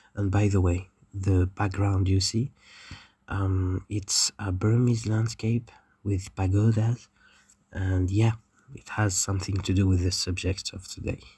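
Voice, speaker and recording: Fairly low in pitch and somewhat breathy, a man speaks at a fairly slow pace in a dark, mellow tone with flat, monotone intonation. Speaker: educational YouTuber. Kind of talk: scripted narration.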